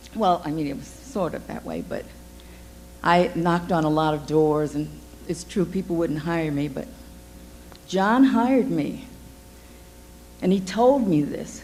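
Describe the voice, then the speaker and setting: A woman's fairly low, fry-tinged voice, fairly slow, with lively intonation, big swings in loudness, and long, frequent pauses. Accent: American. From Cleveland, Ohio. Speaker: radio newscaster. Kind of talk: award acceptance speech.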